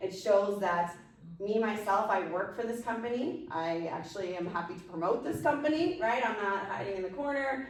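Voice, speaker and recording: There is noticeable background noise and audible room echo. A woman at medium pitch sounds animated, with lively intonation. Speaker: business branding consultant and presenter. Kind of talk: workshop Q&A. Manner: fast.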